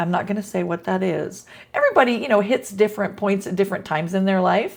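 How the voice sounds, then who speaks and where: Amid noticeable background noise, a medium-pitched woman speaks very fast with fairly even intonation. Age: 60s. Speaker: teacher. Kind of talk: casual talk to camera.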